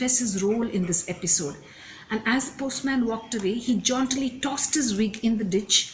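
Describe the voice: Someone does plain reading aloud. The pitch rises and falls in an ordinary way.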